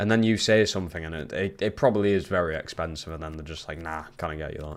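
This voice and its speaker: Talking at a very fast pace, a man has a very deep, low pitch and a Geordie accent. His loudness swings widely while his pitch varies in an ordinary way. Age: 20s. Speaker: gaming streamer. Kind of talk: casual chat. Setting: live stream.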